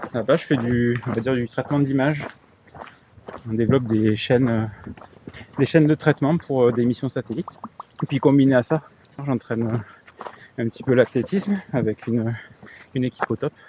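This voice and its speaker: A man speaks with a Toulouse accent at a medium pitch and a moderate pace, leaving long, frequent pauses with ordinary pitch variation. The sound is dry and close with no echo, and there is noticeable background noise. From southern France, Toulouse. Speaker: engineer, hitchhiking show participant. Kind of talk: casual interview chat.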